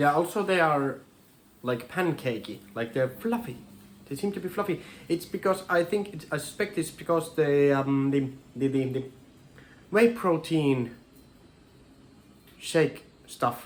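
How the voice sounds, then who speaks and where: A man with a Finnish accent, fairly high-pitched and lively in intonation, at a fairly slow pace with long, frequent pauses. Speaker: home cooking vlogger. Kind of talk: casual cooking tutorial. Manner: halting, many repetitions and fillers.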